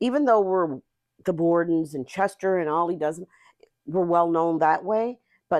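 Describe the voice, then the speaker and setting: Speaking with a Nova Scotian accent, a woman has a fairly low pitch. Her pace is fairly slow, with ordinary pitch variation. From Nova Scotia, Whitney Pier (Cape Breton). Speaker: community justice worker. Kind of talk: casual chat. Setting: podcast interview.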